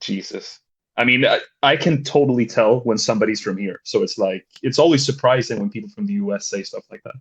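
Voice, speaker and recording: Over a quiet background, a somewhat breathy voice with a slight Swedish accent moves at a fairly quick pace through very wide pitch swings. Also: man, medium pitch for a man. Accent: slight Swedish accent, near-native English. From Sweden. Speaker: caller. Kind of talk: casual discussion. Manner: halting.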